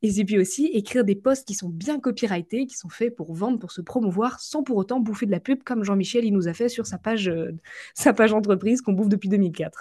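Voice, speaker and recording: At a fairly quick pace, a woman speaks at medium pitch with ordinary pitch variation, a dark, mellow tone, a somewhat breathy quality and big swings in loudness against a quiet background. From western France, Vendée. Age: 20s. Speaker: LinkedIn marketing coach. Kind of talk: casual interview chat.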